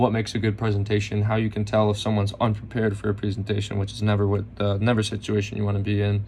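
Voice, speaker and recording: A man speaks at a very fast pace with a fairly low pitch. His voice is somewhat breathy and his intonation monotone and flat. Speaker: college student. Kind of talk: class recap presentation. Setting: self-recorded video.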